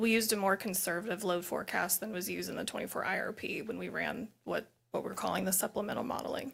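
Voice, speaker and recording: Talking very fast with hardly any pauses, a woman uses a medium pitch, fairly even intonation and vocal fry. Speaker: utility expert witness. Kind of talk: hearing testimony. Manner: soft-spoken.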